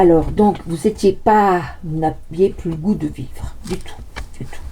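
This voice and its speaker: The woman talks at a very slow pace. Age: 60s. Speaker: tarot card reader. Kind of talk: casual monologue with card reading. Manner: halting, stammering repetitions; animated.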